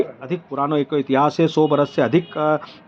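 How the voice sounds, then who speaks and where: With a Malwa accent, a man speaks in fairly even intonation over noticeable background noise. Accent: Malvi-accented Hindi. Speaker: local culture video host. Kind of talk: informal local history narration. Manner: halting, with frequent fillers.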